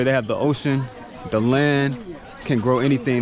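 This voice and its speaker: A man at a fairly quick pace, in a dry sound with no echo and noticeable background noise. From United States. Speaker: travel vlogger. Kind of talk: vlog narration. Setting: outdoors. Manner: animated. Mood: reflective, earnest. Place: street. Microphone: phone near.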